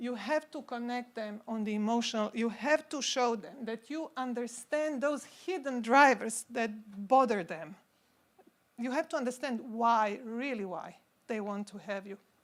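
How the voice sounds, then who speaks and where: A woman with a Croatian accent speaks in a fairly high voice with ordinary pitch variation. Her loudness swings widely. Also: moderate pace. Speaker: consultant. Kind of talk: conference talk.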